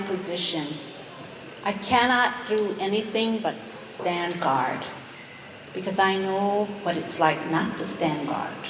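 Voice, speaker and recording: A woman at a medium pitch and very slow pace, with long, frequent pauses, audible room echo and noticeable background noise. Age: 70s. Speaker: community activist giving testimony. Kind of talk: public testimony. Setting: public meeting in a gym.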